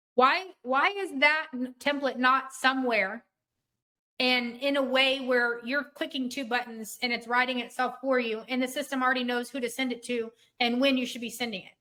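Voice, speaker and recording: In a raised, projected voice, a woman speaks at a high pitch in a bright, sharp tone, with fairly even intonation and big swings in loudness. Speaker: software trainer. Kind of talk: webinar training session. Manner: fast.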